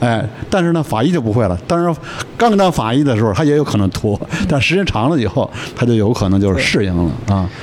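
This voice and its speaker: Over noticeable background noise, a man talks at a very fast pace with very wide pitch swings and very even loudness. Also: medium pitch for a man. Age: 50s. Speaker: surgical oncologist. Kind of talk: casual chat. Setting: family home.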